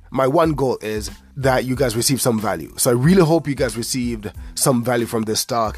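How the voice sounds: Over music in the background, a man puts on a hoarse character voice at a medium pitch, talking at a fairly quick pace with ordinary pitch variation.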